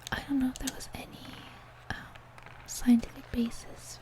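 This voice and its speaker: Whispering comes at a moderate pace while noticeable background noise carries on. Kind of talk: casual talk while gaming. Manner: soft-spoken.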